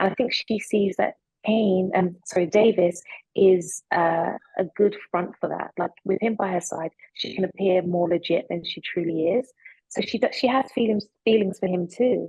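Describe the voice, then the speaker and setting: A woman's somewhat breathy voice at a medium pitch, with ordinary pitch variation and a moderate pace. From London, England (British Nigerian). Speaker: actress. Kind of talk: interview.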